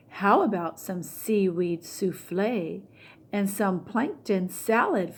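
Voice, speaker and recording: A woman speaks in a put-on character voice at a medium pitch. Her pace is very slow. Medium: read story. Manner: eager, upbeat.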